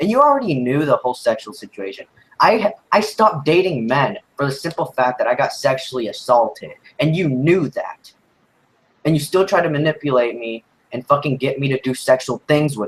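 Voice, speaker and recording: A man's somewhat breathy, fairly high voice at a moderate pace, with big swings in loudness. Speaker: youtuber streaming about abusive ex. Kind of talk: livestream rant. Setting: livestream. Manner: animated.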